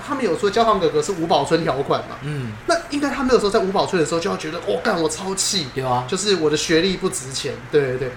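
Over noticeable background noise, the speech runs at a very fast pace with hardly any pauses. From Taiwan, Taipei (Neihu). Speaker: podcast co-host. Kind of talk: casual chat.

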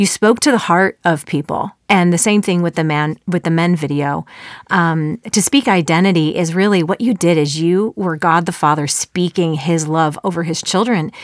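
With an American accent, a woman in a fairly low voice speaks at a moderate pace with ordinary pitch variation, a plain, everyday voice, and a dry, close sound with no echo. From Chicago suburbs, US Midwest. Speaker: podcast host, former musical theater actor. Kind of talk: interview conversation; scripted intro. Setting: studio.

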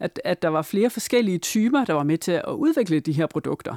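On a very clean recording with a silent background, a woman speaks fairly slowly at medium pitch with very wide pitch swings, the sound dry and close with no echo. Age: 40s. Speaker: researcher and author. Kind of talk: interview. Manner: halting, many fillers and repeats.

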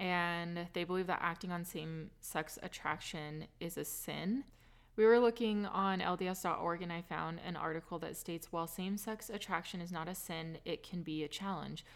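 A woman with a plain, everyday voice and fairly low pitch talks at a moderate pace with fairly even intonation. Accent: American. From California. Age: 20s. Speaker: podcast host. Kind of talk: casual interview chat.

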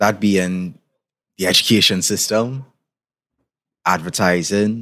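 At a very slow pace, a man with a Trinidadian accent speaks in a fairly low pitch with a bright, sharp tone and fairly even intonation, in a very clean recording with a silent background. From Trinidad and Tobago. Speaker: podcast host. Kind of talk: scripted narration of a history essay.

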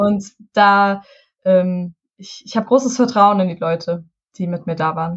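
A somewhat breathy woman at medium pitch, fairly slow, with ordinary pitch variation and big swings in loudness. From Hessen, Taunus. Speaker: musician. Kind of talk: casual interview.

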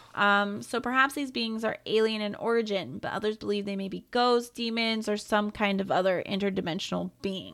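Using an ordinary speaking voice at medium pitch, a woman keeps a moderate pace with hardly any pauses and ordinary pitch variation. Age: 20s. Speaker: podcast co-host. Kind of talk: casual chat; reading aloud.

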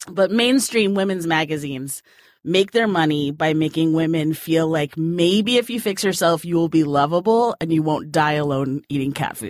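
With an ordinary speaking voice, a woman talks at a moderate pace in a fairly low pitch, her intonation lively. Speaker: magazine editor. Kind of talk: casual chat.

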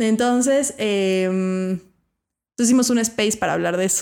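Silent background and a very clean recording behind a woman's voice. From Mexico City. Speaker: podcast host and teacher. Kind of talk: casual interview.

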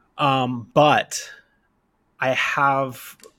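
On a very clean recording with a silent background, a man with a Canadian accent speaks with a bright, sharp tone, a fairly high pitch and fairly even intonation. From Canada, Kamloops, British Columbia. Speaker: rollerblader. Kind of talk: casual chat.

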